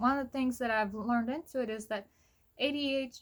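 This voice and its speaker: The woman's voice sits fairly high, with ordinary pitch variation. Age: 30s. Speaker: vlogger. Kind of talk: personal vlog. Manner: casual, filler-heavy.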